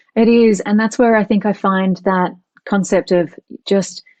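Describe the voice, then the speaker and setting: With a dry, close sound and no echo, a woman speaks fairly slowly at a medium pitch, her tone dark and mellow and her intonation fairly even. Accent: Australian. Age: 40s. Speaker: author and emotional intelligence teacher. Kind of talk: podcast interview.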